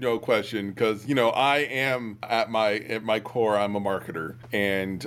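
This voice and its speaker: In an ordinary speaking voice, a man talks at a moderate pace with a medium pitch and fairly even intonation. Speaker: HubSpot trainer. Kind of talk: casual conversational interview.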